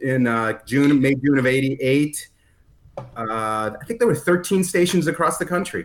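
A fairly high-pitched male voice with an American accent and ordinary pitch variation. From Chicago, US Midwest. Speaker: radio program director. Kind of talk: podcast interview. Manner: halting, many fillers.

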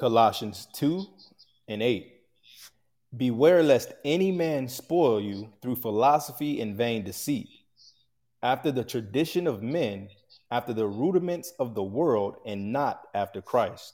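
A man with a medium-pitched, dark, mellow tone speaks at a fairly slow pace with lively intonation, on a very clean recording with a silent background. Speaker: assistant teacher reading scripture. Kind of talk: reading scripture aloud.

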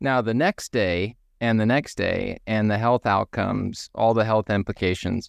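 With a Texan accent and a fairly low pitch, a man talks at a moderate pace in a dry, close sound with no echo over a quiet background. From US, deep South Texas. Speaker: person in recovery from alcohol. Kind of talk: casual group chat.

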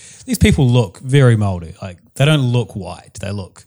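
A man with a New Zealand accent at a fairly quick pace. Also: very clean recording, silent background. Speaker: podcast co-host. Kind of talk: casual chat.

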